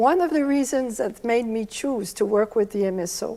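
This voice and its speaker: The voice has a dark, mellow tone with a French Canadian accent. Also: woman. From Quebec, Canada (Montreal). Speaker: orchestra managing director. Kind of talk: prepared speech.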